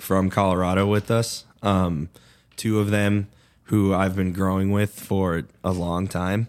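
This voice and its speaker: On a very clean recording with a silent background, a man with an American accent speaks at a fairly slow pace with very deep, low pitch, monotone, flat intonation and very even loudness. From Chicago suburbs, Illinois. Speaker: cannabis grower and business owner. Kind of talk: casual interview chat.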